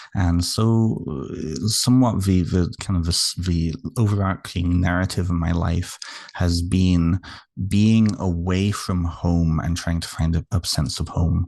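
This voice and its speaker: Over a quiet background, a man with a very deep, low voice speaks at a fairly slow pace with ordinary pitch variation. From United Kingdom. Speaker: therapist and author. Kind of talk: interview.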